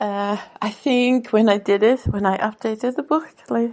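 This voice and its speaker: Speech in a Swedish accent moves at a very slow pace. Pitch varies in an ordinary way. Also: woman. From Sweden. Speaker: author and podcaster. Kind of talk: casual monologue. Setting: radio show or podcast. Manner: halting.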